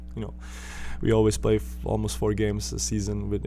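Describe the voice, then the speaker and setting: A man with a very deep, low voice, speaking at a fairly quick pace. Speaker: professional basketball player. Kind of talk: interview.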